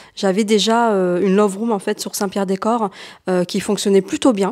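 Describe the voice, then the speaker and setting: A woman is heard against a quiet background. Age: 30s. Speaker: short-term rental subletting entrepreneur, mother of two; short-term rental host. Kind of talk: casual interview and apartment tour. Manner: hesitant, many fillers. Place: home room. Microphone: handheld.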